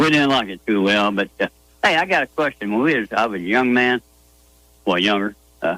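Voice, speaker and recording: A man speaks at a fairly quick pace and fairly low pitch with lively intonation and a bright, sharp tone, broken by long, frequent pauses. The sound is dry and close with no echo. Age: 70s. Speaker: caller. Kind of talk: call-in radio chat.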